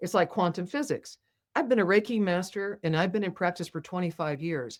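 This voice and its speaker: In a very clean recording with a silent background, a woman with an ordinary speaking voice talks at a fairly quick pace, her fairly low pitch showing ordinary pitch variation. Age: 60s. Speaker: spiritual healer and author. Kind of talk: podcast interview. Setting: podcast with video.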